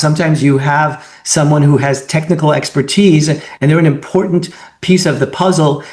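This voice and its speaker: This man has an ordinary speaking voice, fairly high in pitch, moving at a moderate pace with fairly even intonation. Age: 60s. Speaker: webinar moderator and consultant. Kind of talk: webinar discussion.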